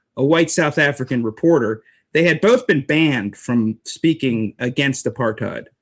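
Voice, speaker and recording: Fairly high in pitch, a man speaks at a moderate pace in an unremarkable speaking voice. His loudness stays very even and his pitch variation ordinary, on a very clean recording with a silent background. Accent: American. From United States. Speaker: street preacher, writer. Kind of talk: interview answer.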